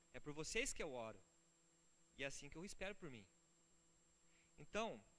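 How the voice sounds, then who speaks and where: In a room with audible echo, a man's fairly high, bright, sharp voice swings very widely in pitch. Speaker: pastor. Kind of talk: sermon. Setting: church. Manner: fast; animated.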